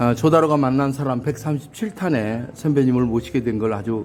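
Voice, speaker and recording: There is noticeable background noise as a man speaks at medium pitch with ordinary pitch variation. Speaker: YouTube interviewer, ex-army officer. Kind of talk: interview. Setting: hotel. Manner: formal.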